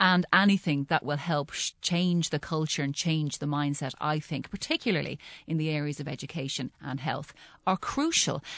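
Heard dry and close with no echo over a quiet background, the speaker has an Irish accent and talks at a moderate pace with fairly even intonation. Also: woman, very deep, low pitch for a woman. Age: 40s. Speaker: journalist and communications consultant. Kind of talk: panel discussion on radio. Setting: radio studio.

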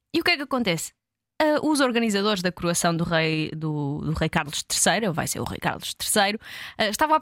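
Dry and close with no echo, a woman's voice moves at a moderate pace through very wide pitch swings. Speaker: podcast co-host. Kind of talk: casual chat.

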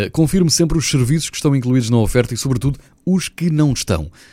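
A man with a European Portuguese accent talks at a fairly quick pace in a dark, mellow tone with very wide pitch swings. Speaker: radio presenter. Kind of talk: news segment.

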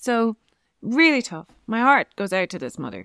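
Lively intonation in an Irish accent at a moderate pace, dry and close with no echo, on a very clean recording with a silent background. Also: woman. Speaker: parenting podcast co-host. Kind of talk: casual chat.

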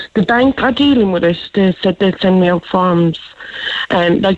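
A woman talks at a fairly slow pace with an Irish accent. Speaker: caller, scam victim, mother. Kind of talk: phone-in call. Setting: phone call.

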